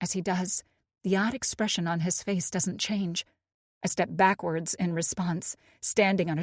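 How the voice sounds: Heard over a quiet background, this is a natural reading voice with fairly even intonation.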